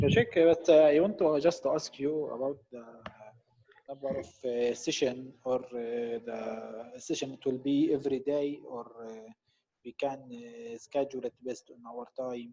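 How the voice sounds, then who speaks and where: A man with an Arabic accent speaks at a fairly slow pace and medium pitch, with ordinary pitch variation and big swings in loudness. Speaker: student. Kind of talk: online class Q&A. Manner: halting.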